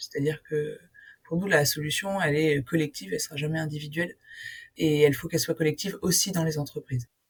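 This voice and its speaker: A woman's voice comes across as somewhat breathy. Her pitch variation is ordinary. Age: 20s. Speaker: union co-founder. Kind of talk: interview. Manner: hesitant, many fillers.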